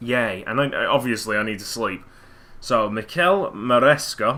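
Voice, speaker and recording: A man's medium-pitched voice with a bright, sharp tone, at a moderate pace. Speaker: gaming commentator. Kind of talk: gameplay commentary. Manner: soft-spoken.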